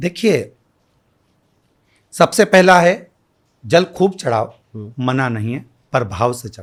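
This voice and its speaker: A silent background and a very clean recording frame this man's voice. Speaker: kathavachak (Shiv Puran storyteller). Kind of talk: interview answer. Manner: calm.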